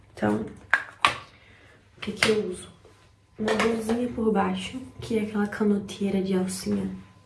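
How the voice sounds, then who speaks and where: A woman with a medium-pitched voice is heard with audible room echo and noticeable background noise. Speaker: vlogger. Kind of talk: vlog. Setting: at home before dawn. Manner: quiet.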